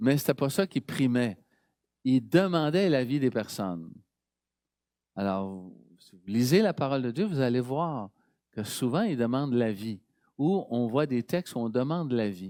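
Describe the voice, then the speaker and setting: Over a very clean recording with a silent background, a man speaks at medium pitch in a dark, mellow tone with lively intonation and big swings in loudness. His pace is fairly slow, with long, frequent pauses. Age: 70s. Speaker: priest. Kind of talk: sermon. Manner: conversational.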